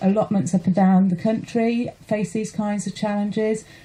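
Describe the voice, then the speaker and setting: A woman's fairly quick speech against noticeable background noise. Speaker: allotment holder, campaigner. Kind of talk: radio interview. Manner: emotional, passionate.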